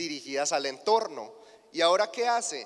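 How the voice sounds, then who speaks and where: Lively intonation marks this man's speech in a Colombian accent. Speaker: agribusiness marketing specialist. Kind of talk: conference keynote lecture.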